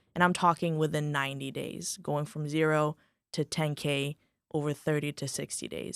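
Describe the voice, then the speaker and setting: A woman speaks with a slight Moldovan accent. The recording is very clean, dry and close, with a silent background and no echo. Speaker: insurance agency owner. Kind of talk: podcast interview. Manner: animated.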